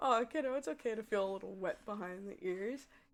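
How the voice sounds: Reading in a natural voice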